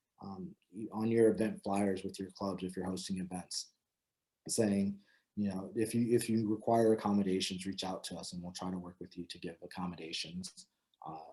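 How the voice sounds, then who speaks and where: A man with an American accent and a fairly low pitch speaks in a dark, mellow tone with monotone, flat intonation and big swings in loudness. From Florida, Tampa. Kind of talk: talk to students. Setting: video call. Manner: fast; halting, many fillers.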